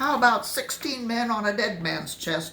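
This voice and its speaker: Putting on a gruff, growling character voice, a woman speaks with lively intonation. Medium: read story. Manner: growling, gruff.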